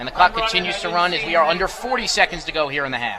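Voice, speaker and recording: Over crowd noise in the background, a man with a high pitch talks at a very fast pace in an energetic tone with lively intonation. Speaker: radio football play-by-play announcer. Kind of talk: live sports play-by-play commentary. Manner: fast, energetic.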